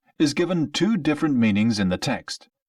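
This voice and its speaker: A man with a British accent talks at a moderate pace in a fairly high pitch. The sound is dry and close, with no echo. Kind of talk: textbook listening passage reading. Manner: clear, measured.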